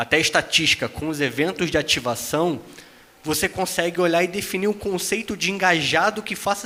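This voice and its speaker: Against noticeable background noise, a man with a slight Rio de Janeiro accent speaks fairly quickly at a high pitch. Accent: faint carioca. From Brazil, Rio de Janeiro. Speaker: tech company executive, panelist. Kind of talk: panel discussion.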